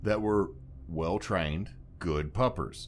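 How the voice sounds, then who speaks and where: A man speaks in a Louisiana accent with vocal fry. The recording is very clean, with a silent background. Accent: Louisiana Southern US. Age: 30s. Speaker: podcast host. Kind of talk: casual chat.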